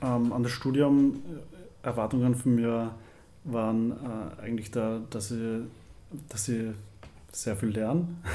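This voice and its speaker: A man with a dark, mellow tone and medium pitch speaks at a very slow pace, leaving long, frequent pauses. His intonation is fairly even, and audible room echo surrounds the voice. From Upper Austria, near Linz. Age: 20s. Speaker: university student. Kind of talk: casual interview.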